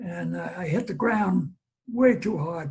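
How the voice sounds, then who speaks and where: In a New York accent, a man speaks at a fairly slow pace. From New York (Brooklyn, Long Island). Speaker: war veteran. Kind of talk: interview storytelling. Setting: video call. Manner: halting with fillers.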